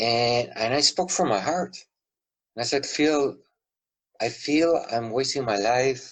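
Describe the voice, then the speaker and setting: A man at a very slow pace, medium-pitched with ordinary pitch variation, very even loudness, and long, frequent pauses. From Peru. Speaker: author. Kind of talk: interview. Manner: halting.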